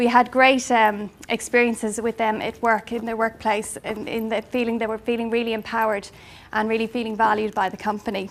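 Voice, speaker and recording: The pace is fairly quick, with an Irish accent. Intonation stays monotone and flat. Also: woman, fairly high pitch for a woman. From Ireland. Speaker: life coach. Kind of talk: business presentation. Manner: hesitant, many fillers.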